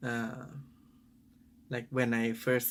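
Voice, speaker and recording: This is a man with a Thai accent. His pitch sits in the medium range. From Thailand. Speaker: father. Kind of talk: personal reflective talk to camera. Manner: hesitant, thoughtful.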